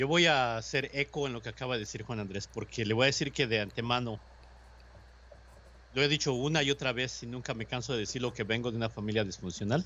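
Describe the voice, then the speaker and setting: Talking at a very fast pace in a Mexican accent, a man keeps a medium pitch with ordinary pitch variation. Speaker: radio host. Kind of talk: casual chat.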